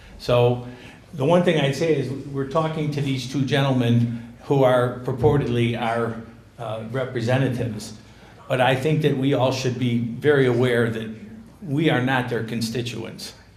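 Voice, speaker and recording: In a room with audible echo, a man talks at a moderate pace. His voice is medium in pitch with fairly even intonation. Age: 60s. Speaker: town hall attendee. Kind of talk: public comment speech.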